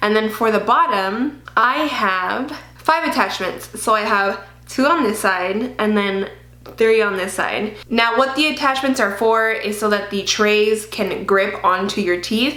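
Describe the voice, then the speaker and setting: A woman speaks at a fairly slow pace in a fairly high voice with ordinary pitch variation, and the room echo is audible. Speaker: beauty vlogger. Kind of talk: casual vlog. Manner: casual, chatty.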